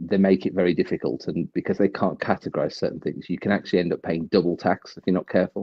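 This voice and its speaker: A man with a British accent at a very fast pace. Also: hardly any pauses. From UK. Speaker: livestream guest. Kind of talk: casual chat.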